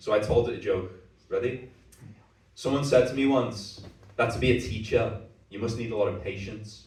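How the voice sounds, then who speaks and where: Speaking in a Liverpool accent, a man talks at a fairly quick pace and medium pitch. There is audible echo in the room. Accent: Scouse. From Liverpool, England. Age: 30s. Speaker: stand-up comedian. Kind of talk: stand-up. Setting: stage with audience.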